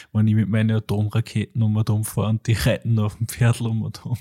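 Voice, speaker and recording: Over a silent background in a very clean recording, a man talks at a fairly quick pace in a fairly low, somewhat breathy voice with a dark, mellow tone and a dry, close sound without echo. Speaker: podcast host. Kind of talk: casual chat. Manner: animated.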